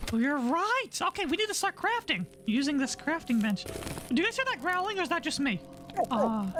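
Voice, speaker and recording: A cartoonish character voice at a high pitch moves quickly, its pitch swinging very widely. Clear background noise is heard behind it. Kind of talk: cartoon character parody. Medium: machinima. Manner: excitable.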